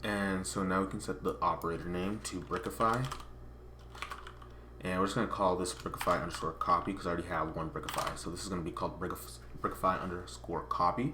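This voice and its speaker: With audible room echo around him, a man with a very deep, low voice talks at a very fast pace and with lively intonation. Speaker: software tutorial creator. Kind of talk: tutorial.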